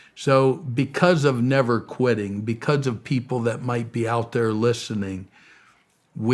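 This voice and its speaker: In a normal speaking voice, a man talks at a fairly slow pace and medium pitch with fairly even intonation. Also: very clean recording, silent background. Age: 60s. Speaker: missionary and charity founder. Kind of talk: interview.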